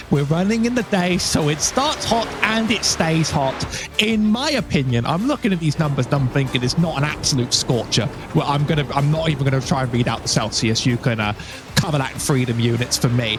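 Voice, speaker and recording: A man with a British accent speaks at a fairly quick pace and a fairly high pitch, with very wide pitch swings and very even loudness. Noticeable background noise is present. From Britain. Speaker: guest sim racing commentator. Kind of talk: live commentary.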